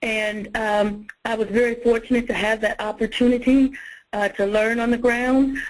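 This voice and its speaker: A woman's fairly high, monotone voice with flat intonation at a moderate pace. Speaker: workforce development consultant. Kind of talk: webinar presentation.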